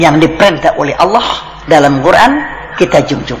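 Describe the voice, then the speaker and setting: Music plays in the background as a man speaks at a fairly slow pace in a Jakarta accent. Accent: Betawi. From Jakarta (Betawi). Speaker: Islamic cleric. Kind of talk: religious sermon.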